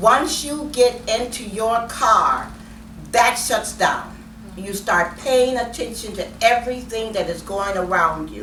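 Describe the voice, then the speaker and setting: A woman at a fairly high pitch and very slow pace, with ordinary pitch variation, big swings in loudness, audible room echo and noticeable background noise. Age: 70s. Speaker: author. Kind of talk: interview. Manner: emphatic.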